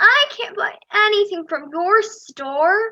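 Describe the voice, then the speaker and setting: Someone speaks at a fairly slow pace in a put-on character voice with very wide pitch swings. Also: woman. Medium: stage play.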